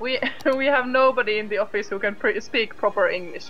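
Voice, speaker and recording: A woman's high-pitched voice with a Finnish accent, fairly quick pace, ordinary pitch variation, and music in the background. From Finland. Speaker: game studio CEO. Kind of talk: casual livestream chat. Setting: live game stream. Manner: hesitant, many fillers.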